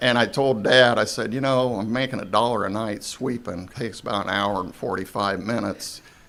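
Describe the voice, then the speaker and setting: A man with a plain, everyday voice talks at a medium pitch. His pace is fairly quick, with fairly even intonation and hardly any pauses. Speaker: retired car dealer. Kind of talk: casual interview chat.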